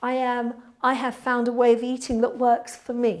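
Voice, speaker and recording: A woman speaks with a British accent at a high pitch. Her pace is fairly slow and her intonation monotone and flat. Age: 60s. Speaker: pilates instructor. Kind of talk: live Q&A with viewers. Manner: casual, hesitant with fillers.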